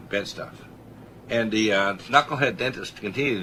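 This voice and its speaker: A man at a very fast pace with a fairly low pitch. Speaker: medical doctor and radio show host. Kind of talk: radio health talk show.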